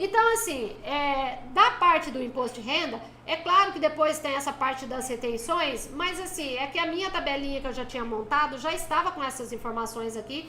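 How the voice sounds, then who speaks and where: The voice is raised and projected, with lively intonation at a moderate pace. Room echo is audible and background noise is noticeable. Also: woman. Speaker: tax specialist teaching a course. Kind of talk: live-stream lecture. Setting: live stream. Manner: casual, chatty with viewers.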